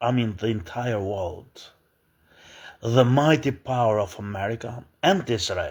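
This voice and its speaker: Somewhat breathy and very slow, a man speaks on a very clean recording with a silent background. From Albania. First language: Albanian. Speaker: political commentator. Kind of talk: opinion monologue. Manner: halting, many fillers and restarts.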